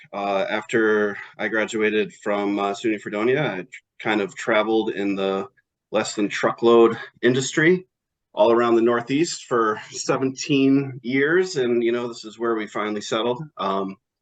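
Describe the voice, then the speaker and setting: With an upstate New York accent, a man talks at a moderate pace with ordinary pitch variation. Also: medium pitch for a man. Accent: upstate New York American. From upstate New York (Elmira). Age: 40s. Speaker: town board candidate. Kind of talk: interview. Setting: video call.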